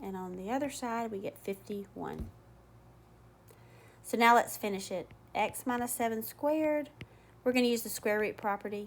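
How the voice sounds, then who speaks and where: A woman speaks at a moderate pace with long, frequent pauses. Her fairly high voice shows ordinary pitch variation. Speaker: math teacher. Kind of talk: tutorial.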